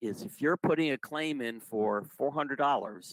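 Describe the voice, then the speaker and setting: A man with a plain, everyday voice, fairly high in pitch, lively in intonation, at a moderate pace, in a dry, close sound with no echo. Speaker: retiree benefits presenter. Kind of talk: informational presentation.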